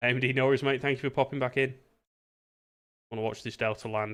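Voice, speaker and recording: A man's medium-pitched voice at a very fast pace against a quiet background. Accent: British. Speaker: streamer and virtual air traffic controller. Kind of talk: live stream chat and radio control. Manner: casual, chatty.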